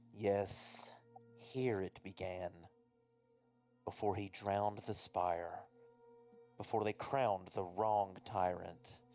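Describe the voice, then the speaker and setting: A man puts on a character voice that is resonant and solemn in tone, with a fairly low pitch. He goes at a very slow pace with long, frequent pauses. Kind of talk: archaic, formal. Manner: ominous, solemn.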